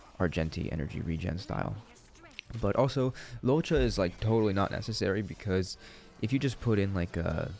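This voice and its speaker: A man with a very deep, low pitch talks at a fairly quick pace and with lively intonation, over noticeable background noise. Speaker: gaming content creator. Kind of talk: gameplay commentary. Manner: casual, conversational.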